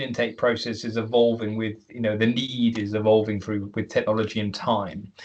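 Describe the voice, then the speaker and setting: The speaker has a British accent. The pace is moderate. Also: man. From United Kingdom. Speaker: webinar moderator. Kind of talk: panel discussion. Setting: online webinar.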